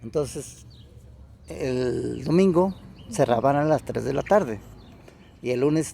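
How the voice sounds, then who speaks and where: Speaking with a Mexican accent, a man has a fairly high voice. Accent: Mexican Spanish (Jalisco). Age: 70s. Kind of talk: interview answer.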